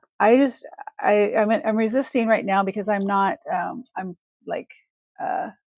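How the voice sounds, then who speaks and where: In a West Coast accent, a woman talks fairly slowly with long, frequent pauses, her fairly high pitch swinging very widely. The sound is dry and close, with no echo. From Northern California. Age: 50s. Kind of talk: live shopping stream. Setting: live video stream.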